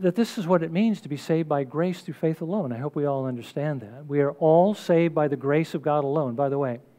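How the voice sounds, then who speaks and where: Against a quiet background, a man talks at a very fast pace with hardly any pauses. His pitch variation is ordinary. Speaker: preacher or teacher. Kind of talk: sermon.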